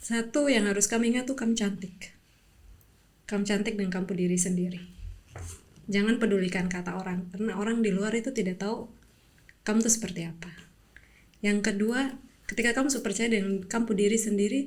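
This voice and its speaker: A woman speaks at a medium pitch and a fairly quick pace, her voice somewhat breathy. Her intonation stays fairly even, broken by long, frequent pauses. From Papua, Indonesia. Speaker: athlete. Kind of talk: interview. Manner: motivational.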